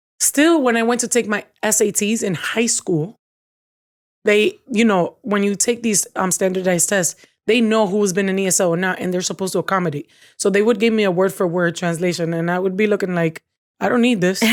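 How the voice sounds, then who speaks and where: With a Spanish accent, a woman talks at a fairly quick pace, her medium pitch showing ordinary variation. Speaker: podcast co-host. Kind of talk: casual chat.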